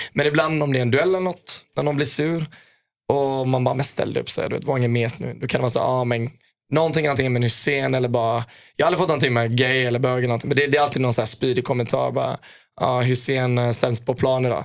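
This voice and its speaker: The intonation remains fairly even. A man delivers his words at a very fast clip. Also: medium pitch for a man. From Sweden, Gothenburg. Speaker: footballer. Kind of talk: casual chat.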